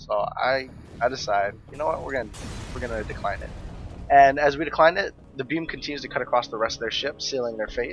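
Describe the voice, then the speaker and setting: The speech moves at a very fast pace with music in the background. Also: man. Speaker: gaming YouTuber. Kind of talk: let's play commentary.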